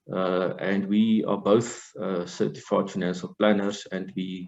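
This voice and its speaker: A man talks in a normal speaking voice at a fairly low pitch. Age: 60s. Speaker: life and financial coach. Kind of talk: webinar discussion.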